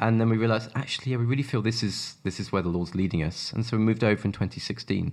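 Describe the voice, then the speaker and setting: Speaking at a very fast pace with a British accent, a man uses a medium pitch and ordinary pitch variation. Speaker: ministry worker with the homeless. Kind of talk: interview.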